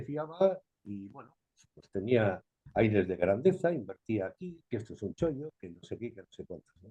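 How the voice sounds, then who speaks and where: In a dry, close recording with no echo, a man of medium pitch talks at a moderate pace with a dark, mellow tone, very wide pitch swings and big swings in loudness. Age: 70s. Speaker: videoconference participant. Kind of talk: open discussion comment. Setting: video call.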